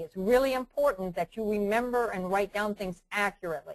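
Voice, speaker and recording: A woman at a very fast pace, medium in pitch, with ordinary pitch variation. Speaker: trading educator. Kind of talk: webinar lecture. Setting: online webinar.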